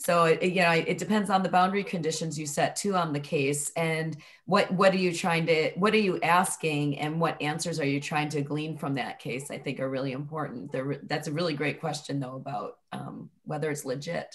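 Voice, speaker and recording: At a moderate pace, a woman speaks in a somewhat breathy voice with very deep, low pitch and ordinary pitch variation. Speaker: academic researcher. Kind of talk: academic seminar discussion. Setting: video call. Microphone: video call.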